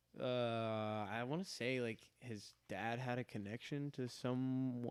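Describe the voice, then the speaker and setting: A man at medium pitch sounds dry and close, with no echo at all. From Birmingham, Alabama, US South (moved from Saudi Arabia at seven). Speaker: podcast guest. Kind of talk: casual chat. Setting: live stream.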